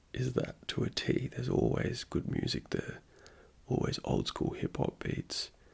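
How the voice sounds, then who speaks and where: This soft-spoken voice moves at a fairly slow pace. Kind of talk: ASMR; casual vlog narration.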